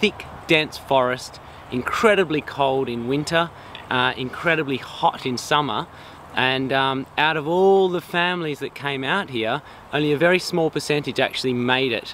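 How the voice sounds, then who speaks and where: There is light background noise and a dry sound with no echo. A man speaks at a moderate pace with ordinary pitch variation. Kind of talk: casual explanatory chat. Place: open country.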